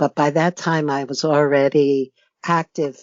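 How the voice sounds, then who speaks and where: Someone with an American accent speaks at a fairly slow pace. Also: woman. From United States. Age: 60s. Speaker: author and retired judge. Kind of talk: interview.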